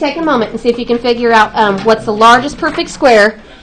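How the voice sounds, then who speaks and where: A woman talks very fast at a fairly high pitch, her pitch varying in an ordinary way, while noticeable background noise carries on behind her. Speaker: math teacher. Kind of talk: classroom lesson. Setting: classroom. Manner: loud; projecting voice.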